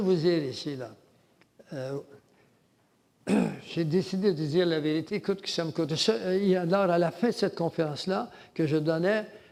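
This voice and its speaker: A man with a high pitch speaks at a moderate pace, using ordinary pitch variation and long, frequent pauses. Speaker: lecturer on religion and world government. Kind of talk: lecture. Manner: halting.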